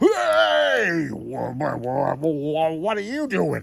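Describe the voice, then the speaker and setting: In a put-on character voice, the speaker uses a low-to-middle pitch at a very slow pace. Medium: solo performance. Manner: stammering, blustering.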